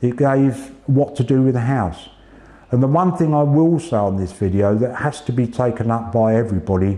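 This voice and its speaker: Noticeable background noise sits behind a man at a medium pitch and moderate pace. His intonation is lively while his loudness stays very even. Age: 60s. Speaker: cancer patient, retired police officer. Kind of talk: interview testimony. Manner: halting, repeats words.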